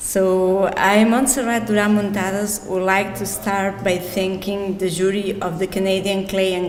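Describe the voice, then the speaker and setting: A woman in a Catalan Spanish accent, monotone and flat, with audible room echo and noticeable background noise. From Catalonia, Spain. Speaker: glass artist, award winner. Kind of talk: reading aloud acceptance speech.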